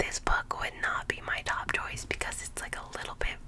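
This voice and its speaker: Noticeable background noise surrounds the whispering. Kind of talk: ASMR video, casual talk to camera. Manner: whispered.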